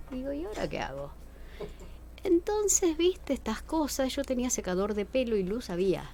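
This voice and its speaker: With a Rioplatense accent, a woman speaks at a high pitch and a moderate pace. Her tone is dark and mellow, and her pitch swings very widely. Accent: Argentine Rioplatense Spanish. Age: 60s. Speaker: museologist. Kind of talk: interview.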